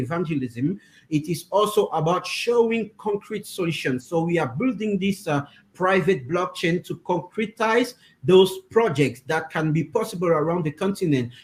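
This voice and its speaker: The speech moves at a moderate pace in a French accent, with ordinary pitch variation. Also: man. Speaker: interpreter for a crypto project team. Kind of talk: interview. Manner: halting, many fillers.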